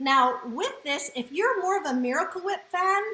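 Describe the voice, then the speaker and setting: A woman's raised, projected voice with very wide pitch swings over noticeable background noise. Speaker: cooking demonstrator. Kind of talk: live cooking demo. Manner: fast; animated.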